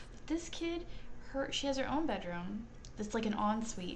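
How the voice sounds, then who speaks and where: Over noticeable background noise and audible room echo, a woman with an American accent talks with lively intonation. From US South, North Carolina. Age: 30s. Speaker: gaming streamer. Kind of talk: casual chat.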